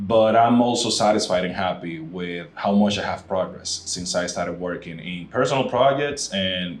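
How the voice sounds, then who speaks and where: Amid noticeable background noise and audible room echo, a man with a Spanish accent speaks in a very deep, low pitch. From Dominican Republic. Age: 30s. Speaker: podcast host being interviewed. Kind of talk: interview. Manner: straightforward.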